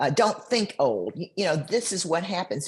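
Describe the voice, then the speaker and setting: The intonation is lively. The voice comes across as somewhat breathy. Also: woman. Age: 70s. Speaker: bikini competitor. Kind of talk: interview answer.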